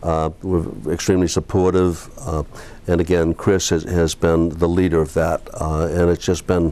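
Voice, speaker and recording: A man talks at a moderate pace with a monotone, flat intonation. His pitch is very deep and low. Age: 60s. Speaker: real estate broker. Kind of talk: interview. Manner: halting, many fillers.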